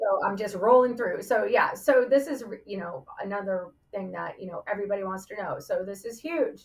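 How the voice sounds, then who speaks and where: A woman at a fairly quick pace, hardly any pauses, and big swings in loudness. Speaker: veterans benefits presenter. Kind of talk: live Q&A presentation. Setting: livestream. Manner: fast.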